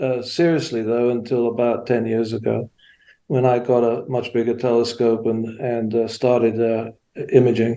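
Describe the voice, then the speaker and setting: The man's medium-pitched voice moves along at a fairly slow pace. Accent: English. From England. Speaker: amateur astronomer, sky village member. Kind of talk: casual interview. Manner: halting, many fillers.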